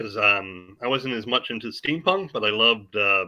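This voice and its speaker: A man with a plain, everyday voice, an American accent, ordinary pitch variation and a moderate pace. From New York. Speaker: comic book creator and publisher. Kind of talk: interview.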